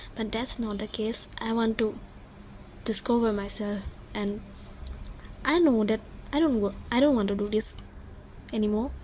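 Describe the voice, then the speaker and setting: Pausing long and often, a woman talks in a fairly high, somewhat breathy voice with ordinary pitch variation. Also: moderate pace. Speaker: vlogger, exam student. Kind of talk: personal vlog, emotional monologue. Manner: halting, stuttering.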